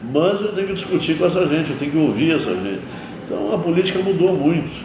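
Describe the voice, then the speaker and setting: A high-pitched man amid noticeable background noise and audible room echo. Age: 70s. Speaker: mayor. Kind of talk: interview. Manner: animated.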